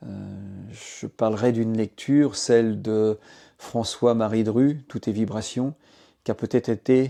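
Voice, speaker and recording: Fairly slow speech from a man with long, frequent pauses, medium pitch, fairly even intonation, a dark, mellow tone, a dry, close sound with no echo, and a quiet background. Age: 60s. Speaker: sound therapy practitioner, former business executive. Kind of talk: testimony. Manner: halting, many filler hesitations.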